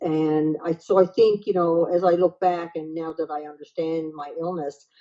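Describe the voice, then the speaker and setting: Woman in a Newfoundland accent, fairly low pitch, monotone, flat intonation, big swings in loudness, and a moderate pace. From Newfoundland, Canada. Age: 60s. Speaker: retired counselor and author. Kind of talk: personal testimony interview.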